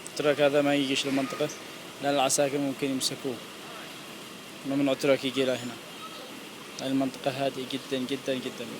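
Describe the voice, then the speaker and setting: Quietly and with long, frequent pauses, a man speaks in a fairly high voice with monotone, flat intonation over noticeable background noise. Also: moderate pace. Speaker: vlogger. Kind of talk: casual walking vlog. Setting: outdoors in a park. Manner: quiet, lowered voice; hesitant, many fillers.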